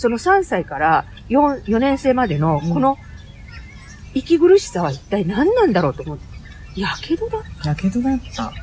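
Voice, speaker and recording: Her pitch high and swinging very widely, a woman talks at a moderate pace over noticeable background noise. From Aichi, Japan (Kiyosu, near Nagoya). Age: 50s. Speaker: English conversation school owner. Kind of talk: interview. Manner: animated.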